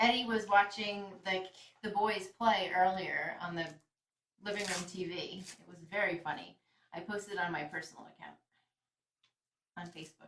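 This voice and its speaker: A woman with an American accent speaks at a moderate pace and medium pitch, with fairly even intonation. Her loudness swings widely, and she leaves long, frequent pauses. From New York. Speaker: shelter volunteer and kitten livestreamer. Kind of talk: talking to pets; casual chat. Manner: direct.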